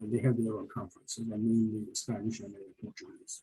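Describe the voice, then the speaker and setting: This man's voice has a dark, mellow tone. It is somewhat breathy. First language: Turkish. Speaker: hospitality professor. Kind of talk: panel discussion. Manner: halting, many fillers.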